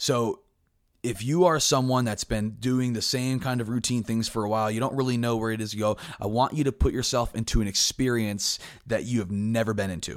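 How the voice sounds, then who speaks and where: Over a very clean recording with a silent background, a man uses an ordinary speaking voice at medium pitch, moving at a fairly quick pace with fairly even intonation. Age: 20s. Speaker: podcast host. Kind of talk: solo motivational talk.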